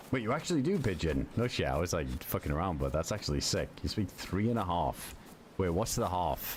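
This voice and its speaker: With a British accent, a man speaks at a fairly quick pace in a very deep, low voice with vocal fry, very wide pitch swings and very even loudness. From UK. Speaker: gaming streamer. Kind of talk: casual chat. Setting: livestream. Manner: animated.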